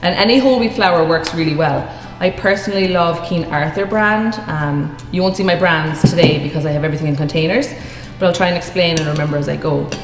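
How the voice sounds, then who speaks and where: A woman with a northwest Irish accent talks very fast in a fairly low pitch, with ordinary pitch variation. Audible room echo and noticeable background noise are present. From Ireland, County Sligo. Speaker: cooking teacher. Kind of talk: tutorial. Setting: video stream. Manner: casual.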